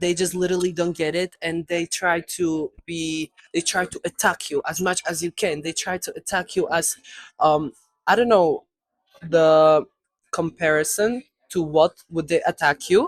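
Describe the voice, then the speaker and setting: A woman speaks at a fairly slow pace and a fairly low pitch, in a non-native accent with fairly even intonation. The sound is dry and close, with no echo. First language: not English. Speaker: video creator. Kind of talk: casual chat. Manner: halting.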